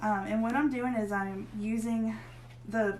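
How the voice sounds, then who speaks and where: A woman of medium pitch speaks with a slight Southern US accent and very wide pitch swings. Audible room echo surrounds the recording. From northern Pennsylvania, US (Erie). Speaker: craft tutorial host. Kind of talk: tutorial. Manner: casual, chatty.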